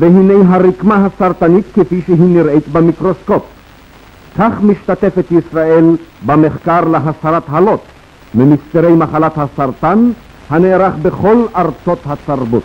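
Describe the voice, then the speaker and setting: A man talks at a very slow pace. His pitch is high, with ordinary variation. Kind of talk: newsreel narration. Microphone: old recording.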